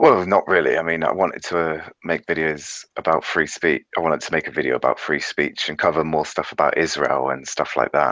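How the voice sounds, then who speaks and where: With a British accent, the speaker moves at a fairly quick pace with hardly any pauses, a bright, sharp tone, vocal fry, and fairly even intonation. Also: man, very deep, low pitch for a man, dry, close sound with no echo. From England, Devon. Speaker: YouTuber. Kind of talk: casual chat. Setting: video call.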